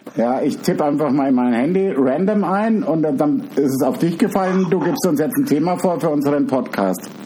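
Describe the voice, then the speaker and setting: Amid noticeable background noise and audible room echo, the speaker talks at a moderate pace in an animated tone, with very wide pitch swings, very even loudness and hardly any pauses. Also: man, fairly high pitch for a man. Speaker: podcast co-host. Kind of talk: casual chat.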